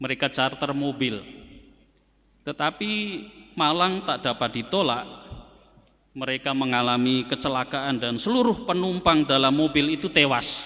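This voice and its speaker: A man speaks at a moderate pace in a fairly high voice, with ordinary pitch variation and long, frequent pauses. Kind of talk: sermon.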